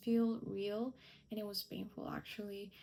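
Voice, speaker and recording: This woman's voice sits at a fairly high pitch. Her intonation stays fairly even. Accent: Spanish. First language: Spanish. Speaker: lifestyle vlogger. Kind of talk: personal vlog talk to camera.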